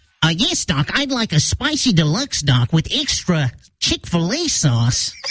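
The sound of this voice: This man puts on a character voice, pitched high and delivered at a moderate pace.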